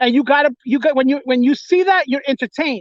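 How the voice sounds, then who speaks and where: An angry man with a New York accent speaks fairly quickly at an extremely high pitch, with ordinary pitch variation. The sound is dry and close, with no echo. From New York, the Bronx. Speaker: livestream host. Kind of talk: casual chat. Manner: sounds angry; repetitive stammering restarts.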